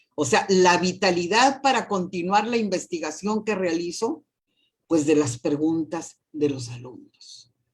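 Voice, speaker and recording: A woman speaks at a fairly slow pace with a fairly low pitch. Her pitch swings very widely. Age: 60s. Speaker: university professor and rector candidate. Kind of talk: interview.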